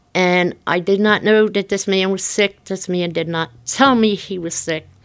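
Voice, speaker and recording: Here is a plain, everyday voice from a woman with an American accent. She speaks at medium pitch and a fairly slow pace. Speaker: local resident. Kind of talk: interview.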